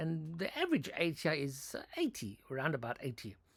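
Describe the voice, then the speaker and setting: Bright, sharp tone marks this man's voice. The recording is very clean, with a silent background. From South Africa. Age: 60s. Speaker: author and vlogger. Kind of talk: casual monologue. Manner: halting, many false starts.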